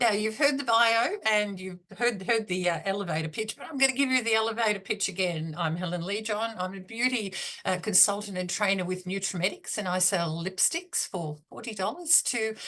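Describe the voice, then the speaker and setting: A woman with an Australian accent talks at a fairly quick pace, with hardly any pauses. Her medium pitch carries lively intonation. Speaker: beauty consultant and trainer. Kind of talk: business talk. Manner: halting, many fillers.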